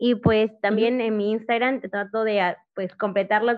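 Fairly high in pitch, a woman speaks with monotone, flat intonation. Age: 20s. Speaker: political commentator and social media creator. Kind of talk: podcast interview.

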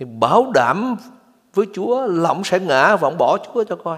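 Speaking fairly slowly, a man uses a high pitch and lively intonation. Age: 60s. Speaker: pastor. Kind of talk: sermon.

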